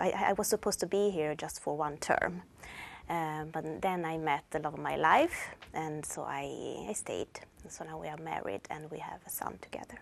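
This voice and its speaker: A woman speaks with an Italian accent at a moderate pace, her very deep, low pitch showing ordinary variation. Her voice carries vocal fry and big swings in loudness. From northern Italy, Turin. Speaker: language teacher. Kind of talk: personal introduction. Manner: halting.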